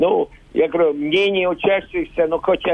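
Keeping his intonation fairly even, the man delivers his words fairly slowly. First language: Latvian (speaking Russian). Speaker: school principal. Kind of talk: recorded interview. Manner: halting, non-native phrasing.

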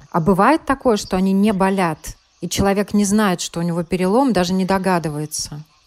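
A woman's plain, everyday voice, medium pitch, ordinary pitch variation, fairly quick pace. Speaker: radio health show host. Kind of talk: news reading.

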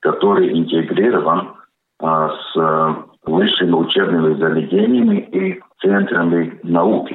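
This is a man speaking. He has a Latvian accent. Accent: Latvian-accented Russian. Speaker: consultant company board member. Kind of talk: radio interview statements.

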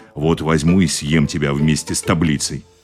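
A man puts on a character voice with a very deep, low pitch, raspy and hoarse, and a menacing tone. His intonation is monotone and flat, at a moderate pace. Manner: menacing, threatening.

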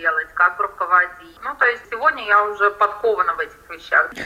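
A woman's voice sits at a medium pitch. Background noise is noticeable throughout. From Latvia, Riga. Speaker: salon owner, emigrant. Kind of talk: interview.

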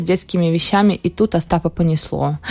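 A woman has a plain, everyday voice, speaking at a medium pitch and moderate pace with ordinary pitch variation. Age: young. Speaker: hairdresser and beauty salon owner. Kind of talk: radio interview. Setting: radio studio.

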